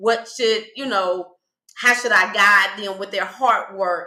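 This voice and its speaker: In a Texas accent, a woman speaks at a moderate pace with a fairly high pitch. Her intonation stays fairly even. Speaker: spiritual life coach. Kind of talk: interview conversation.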